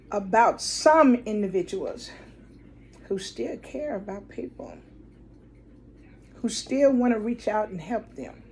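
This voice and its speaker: Somewhat breathy, a woman with a fairly high pitch speaks at a very slow pace with lively intonation, big swings in loudness, and long, frequent pauses. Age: 60s. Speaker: nonprofit director. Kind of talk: direct-to-camera appeal. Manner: earnest.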